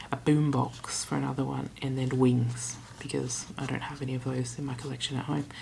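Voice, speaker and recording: With noticeable background noise behind her, a woman speaks at a fairly quick pace in a very deep, low pitch. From Australia. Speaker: travel vlogger. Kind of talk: casual vlog storytelling. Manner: chatty, animated.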